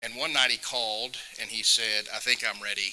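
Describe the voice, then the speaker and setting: Speaking with a Southern US accent, a man has a bright, sharp tone. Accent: Southern US (Georgia). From US South. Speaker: state legislator. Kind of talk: public talk.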